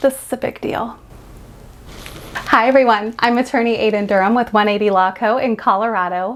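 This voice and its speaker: A woman with a fairly high pitch talks at a moderate pace, her pitch varying in an ordinary way, while noticeable background noise carries on behind her. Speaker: business lawyer. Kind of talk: casual Q&A video.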